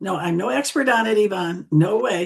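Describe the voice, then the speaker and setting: A woman speaks at a fairly quick pace with ordinary pitch variation. Her voice is somewhat breathy. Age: 70s. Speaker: social media tutor. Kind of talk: presentation.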